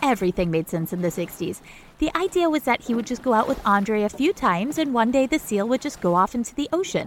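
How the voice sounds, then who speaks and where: With an American accent, a woman speaks at a fairly quick pace and fairly high pitch with very wide pitch swings, over noticeable background noise. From mid-coast Maine, US. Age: 40s. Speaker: podcast host. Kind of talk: casual infotainment narration. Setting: small home studio closet. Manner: animated.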